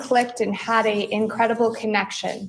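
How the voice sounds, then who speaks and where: A soft-spoken woman at a moderate pace, with audible room echo. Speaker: prosecutor. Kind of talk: cross-examination. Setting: courtroom.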